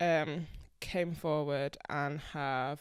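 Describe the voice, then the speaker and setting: The recording is very clean, with a silent background. A woman speaks in a very deep, low voice with a Yorkshire accent. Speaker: podcast co-host. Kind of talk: casual chat.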